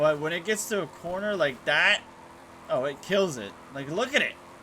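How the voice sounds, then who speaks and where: Lively intonation marks speech delivered fairly slowly. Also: man. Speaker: gaming YouTuber. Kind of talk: gameplay commentary. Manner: casual, halting; quiet while focusing.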